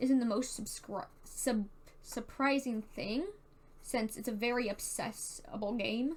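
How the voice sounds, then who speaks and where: A woman speaks with a Southern Californian accent. Her pitch is fairly high. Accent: Valley Girl. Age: 18. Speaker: YouTuber and theater tech worker. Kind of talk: casual monologue. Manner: casual, filler-heavy (like, dude).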